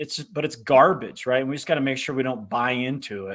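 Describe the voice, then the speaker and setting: This man's voice is fairly high, with ordinary pitch variation. The recording is very clean over a silent background. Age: 50s. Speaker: author and entrepreneur. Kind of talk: interview. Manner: halting, many restarts.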